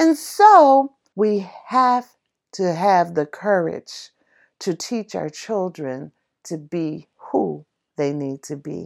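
A woman's fairly low, warm voice at a very slow pace, with very wide pitch swings and big swings in loudness, in a very clean recording against a silent background. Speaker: podcast host. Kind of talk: reflective solo podcast monologue, reading a poem and telling life stories. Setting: solo podcast. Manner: warm, motherly, conversational; earnest, gently instructive.

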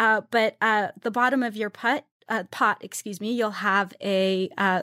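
In a very clean recording with a silent background, a woman speaks at a fairly slow pace and medium pitch with ordinary pitch variation, the sound dry and close with no echo. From Iran, raised in US. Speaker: writer and food conference founder. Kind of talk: interview conversation.

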